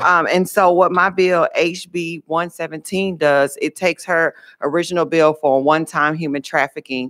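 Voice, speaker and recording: A woman speaks in an ordinary speaking voice, fairly low in pitch, at a fairly slow pace. Her intonation stays fairly even against a quiet background. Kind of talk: committee testimony. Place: hall. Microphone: podium.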